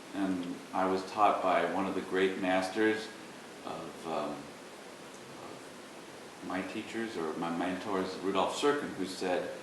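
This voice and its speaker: A man's very deep, low voice at a very slow pace, fairly even in intonation, with audible room echo and noticeable background noise. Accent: American. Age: 60s. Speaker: violist. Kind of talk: interview. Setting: music festival in Korea.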